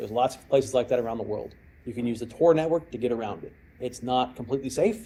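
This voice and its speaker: A man with an American accent speaks at a very fast pace in a medium pitch with ordinary pitch variation. His tone is dark, mellow and somewhat breathy, with big swings in loudness. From Texas. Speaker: cyber security expert and former hostage negotiator. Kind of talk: lecture with audience Q&A.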